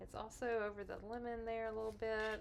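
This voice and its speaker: Speaking with a Texas accent, a woman talks at a fairly slow pace in a fairly high pitch. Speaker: card-making crafter. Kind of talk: craft tutorial. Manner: casual, chatty.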